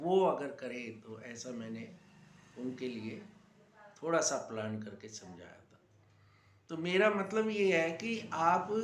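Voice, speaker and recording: Room echo can be heard clearly here. The speaker is a man. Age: 60s. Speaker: yoga teacher. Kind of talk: talk to camera.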